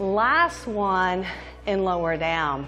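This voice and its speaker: Faint music can be heard in the background. A woman talks over it. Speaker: fitness instructor. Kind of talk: workout instruction with faith devotional talk. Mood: warm, encouraging. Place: home room.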